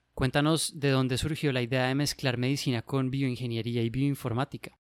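A man with a normal speaking voice talks at a moderate pace and medium pitch, his intonation fairly even and the sound dry and close with no echo. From Colombia. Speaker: medical resident and podcast host. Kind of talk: casual interview chat.

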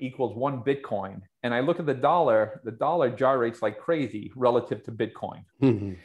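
A man's unremarkable speaking voice at a medium pitch, with ordinary pitch variation and a moderate pace. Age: 50s. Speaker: investment fund manager. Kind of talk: interview.

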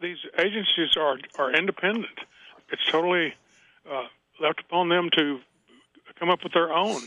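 At a moderate pace with long, frequent pauses, a man speaks in a high pitch with ordinary pitch variation. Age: 70s. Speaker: former police officer and author. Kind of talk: radio interview.

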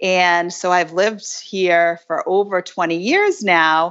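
A woman speaks at a medium pitch. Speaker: mother moving house, real estate worker. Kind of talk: casual chat.

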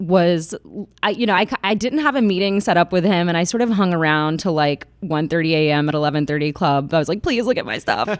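In an American accent, a woman talks in a plain, everyday voice at a moderate pace with a fairly low pitch. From Atlanta, Georgia, US South. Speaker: documentary photographer. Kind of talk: casual interview chat.

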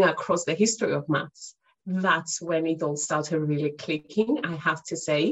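In a Cypriot Greek accent, a woman talks at a moderate pace with lively intonation. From Cyprus. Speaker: math educator and author. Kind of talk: casual interview chat.

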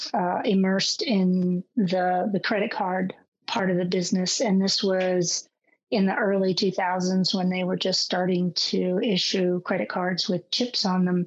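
A woman speaks at a fairly slow pace in a quiet background, her loudness very even and her intonation monotone and flat. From France and Germany, raised overseas. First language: French. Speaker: government CISO. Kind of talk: interview.

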